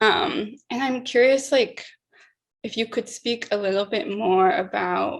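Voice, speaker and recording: A woman with an American accent, fairly high in pitch with vocal fry, at a fairly slow pace. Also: ordinary pitch variation. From Utah. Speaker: conference moderator. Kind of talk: panel interview.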